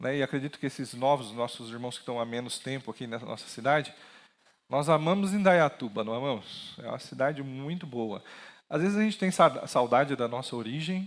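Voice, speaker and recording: On a very clean recording with a silent background, a man speaks fairly quickly at medium pitch with lively intonation. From interior of São Paulo state, Brazil. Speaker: pastor. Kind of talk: sermon. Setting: church with PA system.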